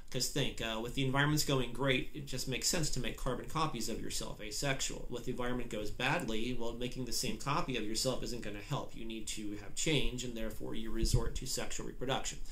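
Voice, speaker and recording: A man at a very fast pace with hardly any pauses and fairly even intonation, audible room echo around him. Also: medium pitch for a man. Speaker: biology instructor. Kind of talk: lecture. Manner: halting, many fillers.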